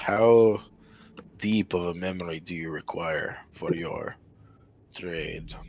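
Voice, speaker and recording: A man does a put-on character voice, very deep and low. He goes at a fairly slow pace with long, frequent pauses. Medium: actual play. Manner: cautious, measured.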